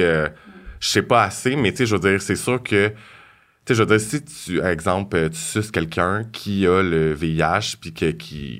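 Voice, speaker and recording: A man with a normal speaking voice talks fairly slowly at a fairly low pitch, with ordinary pitch variation. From Quebec, South Shore of Montreal. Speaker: hairstylist. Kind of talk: casual interview.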